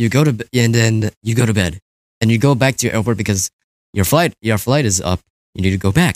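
A man with a normal speaking voice talks at a fairly quick pace with medium pitch and ordinary pitch variation. His loudness is very even, and the sound is dry and close with no echo. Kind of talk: casual chat.

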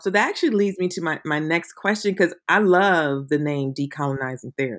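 On a very clean recording with a silent background, a woman with a normal speaking voice, fairly low pitch and lively intonation talks at a fairly quick pace with hardly any pauses. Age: 50s. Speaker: podcast host. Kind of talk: casual chat.

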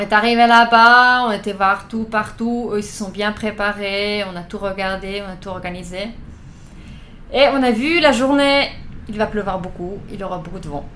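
Amid noticeable background noise and audible room echo, a woman of medium pitch speaks at a fairly slow pace, with ordinary pitch variation and big swings in loudness. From Switzerland, Thun area (Bernese Oberland). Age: 20s. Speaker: amateur triathlete. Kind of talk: interview.

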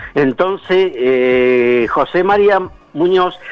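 The voice belongs to a man and sits at a fairly high pitch. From Argentina, Chubut (Patagonia). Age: 70s. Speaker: retired Olympic marathon runner. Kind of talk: interview. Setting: phone call.

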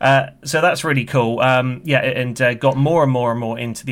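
A man with a British accent speaks at a moderate pace. His pitch is medium and his intonation fairly even. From UK.

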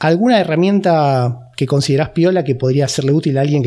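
With a Rioplatense accent, a man talks very fast in a fairly high voice with a dark, mellow tone. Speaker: podcast host. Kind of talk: interview.

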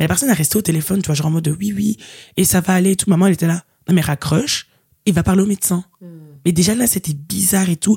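Very fast and somewhat breathy, a woman speaks at a fairly low pitch with a dark, mellow tone, in a dry, close sound with no echo. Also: ordinary pitch variation. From Belgium, Liège. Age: 20s. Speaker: student. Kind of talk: casual chat.

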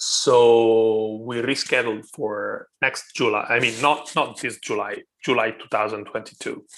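Speaking very slowly with hardly any pauses, a man talks in an Italian accent. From Italy, Rome. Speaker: YouTuber and wet shaving hobbyist. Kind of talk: casual interview chat.

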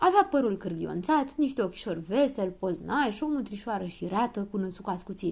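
The intonation rises and falls with liveliness. It is plain reading aloud.

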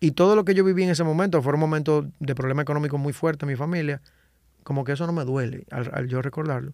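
A man with a Dominican accent speaks at a fairly high pitch with ordinary pitch variation. The recording is very clean, and the background is silent. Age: 30s. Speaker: salsa singer and composer. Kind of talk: casual interview chat. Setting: podcast studio.

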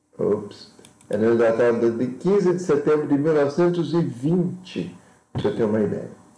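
With vocal fry and a dark, mellow tone, a man's voice makes very wide pitch swings amid audible room echo. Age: 50s. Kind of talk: lecture. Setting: live video stream. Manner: halting.

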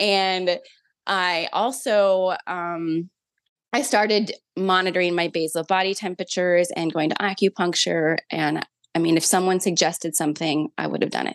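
A woman speaks at a moderate pace with fairly even intonation. Hers is an ordinary speaking voice, pitched fairly low. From Minnesota. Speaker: mother sharing faith testimony. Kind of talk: personal testimony in interview.

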